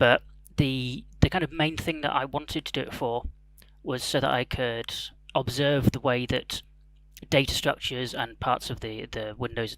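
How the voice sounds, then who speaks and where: This voice, with an English accent, keeps a fairly even intonation. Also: man. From England. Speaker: security researcher. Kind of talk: conference talk.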